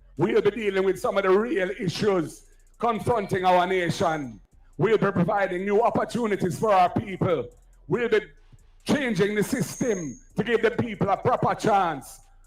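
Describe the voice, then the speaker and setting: With music in the background, a man speaks at a moderate pace in a high pitch, keeping very even loudness and ordinary pitch variation. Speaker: political speaker at campaign rally. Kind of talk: campaign rally speech. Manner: loud, oratorical.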